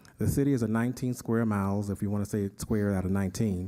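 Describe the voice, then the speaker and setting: A man with a dark, mellow tone speaks at a fairly quick pace with fairly even intonation. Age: 60s. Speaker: city council member. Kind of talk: council meeting report. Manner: halting, with fillers.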